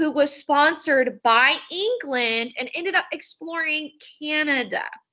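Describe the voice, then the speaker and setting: A woman raises and projects her high voice, her tone animated and her pitch moving in an ordinary way. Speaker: teacher. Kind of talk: online lesson.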